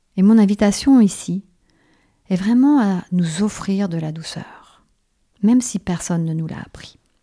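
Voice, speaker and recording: A woman's somewhat breathy, dark, mellow voice at a fairly slow pace with ordinary pitch variation, in a very clean, silent-background recording with a dry, close sound and no echo. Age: 50s. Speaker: naturopath and shiatsu practitioner, podcast host. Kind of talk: reflective monologue.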